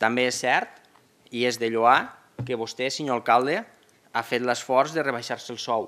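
At a fairly slow pace with long, frequent pauses, a man talks in a medium pitch, his tone bright and sharp and his intonation fairly even. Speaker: opposition councillor. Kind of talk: formal council debate. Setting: municipal council chamber. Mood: argumentative, measured. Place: hall. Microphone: podium.

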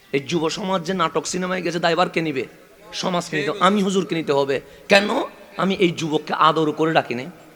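A high-pitched man's voice with fairly even intonation over noticeable background noise. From Chittagong, Bangladesh. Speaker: Islamic preacher. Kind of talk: sermon. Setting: religious gathering with PA system.

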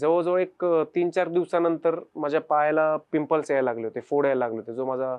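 A man with a plain, everyday voice and ordinary pitch variation. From Pune, Maharashtra, India. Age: 20s. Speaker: wheelchair cricket captain and lab technician. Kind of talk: first-person testimony.

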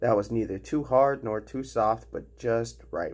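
This is reading aloud in a natural voice. It is a read passage.

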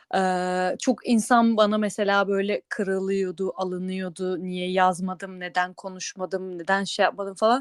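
Her medium-pitched voice moves at a fairly slow pace in a flat monotone, on a very clean recording with a silent background. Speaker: podcast co-host. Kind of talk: casual chat. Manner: hesitant, many fillers.

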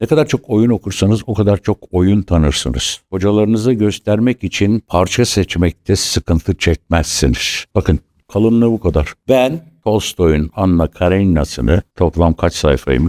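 Recorded dry and close with no echo, a man talks at a moderate pace in a fairly low pitch with a dark, mellow tone, lively intonation, very even loudness and hardly any pauses. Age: 70s. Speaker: stage actor and acting teacher. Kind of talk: interview talk to acting students.

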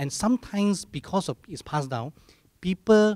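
A man speaks with lively intonation and a somewhat breathy quality. The sound is dry, with no echo. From Malaysia. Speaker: church podcast host. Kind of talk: casual chat. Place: studio. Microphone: handheld.

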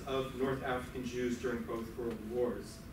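Background noise is clear and the room echoes audibly as a man talks at a middling speed. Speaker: host introducing lecturer. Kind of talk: speaker introduction. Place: hall. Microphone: camera far.

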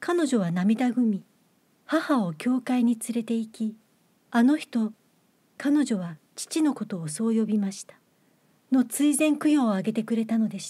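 A woman talks at a fairly slow pace with long, frequent pauses and a fairly high pitch. Her tone is dark and mellow, and her loudness swings widely. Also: lively intonation. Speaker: actress and reader. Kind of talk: literary audiobook reading.

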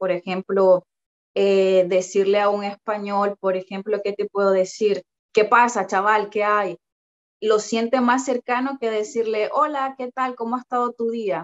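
A woman at a fairly high pitch, with ordinary pitch variation and a fairly slow pace. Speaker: migrant interviewee. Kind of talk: interview answer. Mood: friendly, lively. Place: home room. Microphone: phone near.

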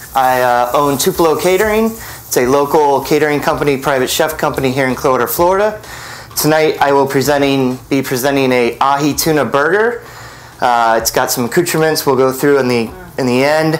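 Music plays behind a man speaking at a fairly quick pace, his loudness very even and his pitch variation ordinary. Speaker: guest. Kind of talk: cooking show presentation. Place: studio. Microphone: lapel.

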